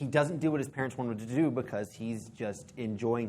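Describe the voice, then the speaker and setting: There is audible room echo as a man talks. He keeps a moderate pace with ordinary pitch variation. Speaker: preacher. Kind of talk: sermon. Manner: halting, self-correcting.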